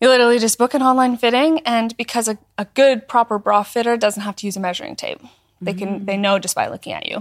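A woman with a Canadian accent, fairly high-pitched and very fast, with ordinary pitch variation, on a very clean recording with a silent background and a dry, close sound with no echo. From northern Alberta, Canada. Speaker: content creator. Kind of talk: casual chat. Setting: studio.

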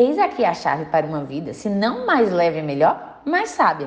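Very wide pitch swings in a woman's moderate-paced speech. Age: 20s. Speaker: clinical psychologist and podcast host. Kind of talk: scripted narration.

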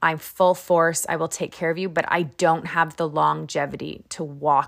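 The voice has vocal fry and a moderate pace. The recording is very clean, with a silent background. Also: woman. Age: 40s. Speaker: podcast host. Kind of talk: solo podcast monologue.

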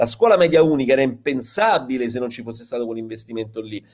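Speaking very fast, a man of medium pitch varies his pitch in an ordinary way. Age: 40s. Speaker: teacher and writer. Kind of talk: online panel discussion.

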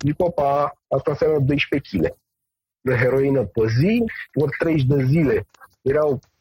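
The delivery is somewhat breathy and fairly slow. The sound is dry and close, with no echo. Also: man. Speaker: medical doctor specializing in medical cannabis. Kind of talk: interview.

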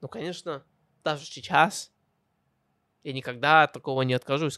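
In an English accent, a man at medium pitch speaks at a moderate pace, his bright, sharp tone dry and close with no echo and his pitch varying in an ordinary way. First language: English (speaking Russian). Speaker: podcast host. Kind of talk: personal storytelling monologue. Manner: halting, self-correcting.

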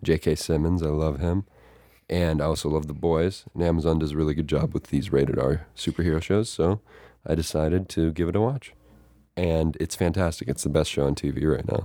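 A man's very deep, low voice with a dark, mellow tone, very even loudness, fairly even intonation and a fairly quick pace. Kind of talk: casual chat. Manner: soft-spoken.

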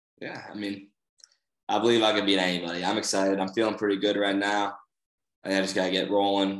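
With an American accent, a man talks very fast in a fairly low, monotone, flat voice, leaving long, frequent pauses, with audible room echo. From Boston. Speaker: college wrestler. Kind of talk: casual chat.

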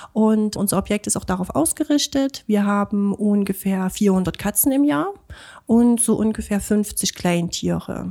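A woman at a medium pitch comes through on a very clean recording with a silent background. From Chemnitz, Saxony. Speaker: animal shelter volunteer. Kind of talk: interview. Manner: hesitant, many fillers.

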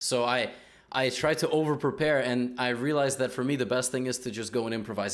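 Medium in pitch, a man talks at a fairly quick pace. His pitch varies in an ordinary way. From US Northeast, New Jersey. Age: 20s. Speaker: podcast host, chess YouTuber. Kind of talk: casual chat.

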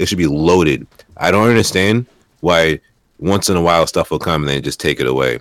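Recorded with a dry, close sound and no echo, a man with vocal fry and a very deep, low pitch speaks at a moderate pace with ordinary pitch variation. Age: 30s. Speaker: podcast co-host. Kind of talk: casual chat.

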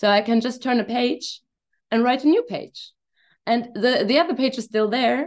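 Speaking with a German accent, a woman has a high pitch and a moderate pace. Her pitch variation is ordinary. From Germany. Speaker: hypnosis coach. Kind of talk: casual interview. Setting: video call. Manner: halting.

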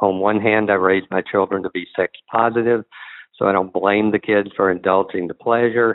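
In a flat monotone, a man speaks at a fairly low pitch. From US Northeast. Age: 40s. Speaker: caller. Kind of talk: recorded voicemail question.

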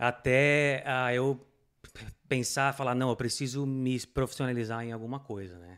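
In an ordinary speaking voice, a man talks at a fairly slow pace and medium pitch, his intonation fairly even but his loudness swinging widely. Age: 30s. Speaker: immigrant motorcyclist, air-conditioning worker. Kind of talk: casual interview chat.

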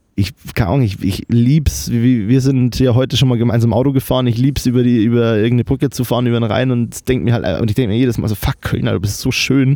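In a Bavarian accent, a man talks fairly quickly at a medium pitch, his tone dark and mellow and the sound dry and close with no echo. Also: very even loudness. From Lower Bavaria, Germany (Kelheim). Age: 20s. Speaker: videographer and media student. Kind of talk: casual chat. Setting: remote recording over the internet. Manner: animated, enthusiastic; halting, many fillers.

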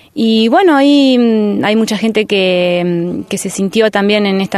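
A woman talks at a medium pitch with ordinary pitch variation. It is a normal speaking voice. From rural Buenos Aires province, Argentina. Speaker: teacher and community organizer. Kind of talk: interview. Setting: outdoors.

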